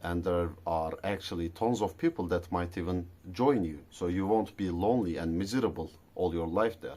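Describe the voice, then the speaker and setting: This man has a very deep, low voice with a dark, mellow tone and a non-native accent. His pace is moderate. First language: not English. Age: adult. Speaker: vlogger. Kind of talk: casual monologue vlog. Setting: garage at night.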